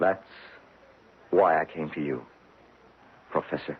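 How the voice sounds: A man uses a put-on character voice with an extremely low pitch and a husky, rough edge. He speaks at a slow pace with ordinary pitch variation.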